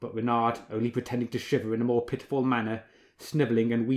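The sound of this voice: The recording carries an unforced reading voice.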